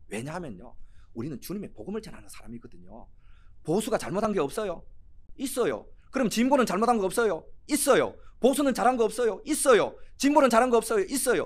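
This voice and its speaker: Speaking very fast at a high pitch, a man uses lively intonation with big swings in loudness. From Korea, Cheongsong (North Gyeongsang). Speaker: pastor. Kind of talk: sermon. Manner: animated.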